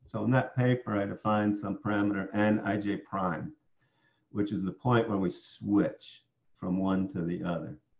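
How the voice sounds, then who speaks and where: A man with an American accent speaks at a moderate pace in a fairly low pitch, with vocal fry, ordinary pitch variation and a quiet background. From upstate New York. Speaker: professor; professor presenting tutorial. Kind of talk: lecture. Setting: online conference presentation. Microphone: webcam.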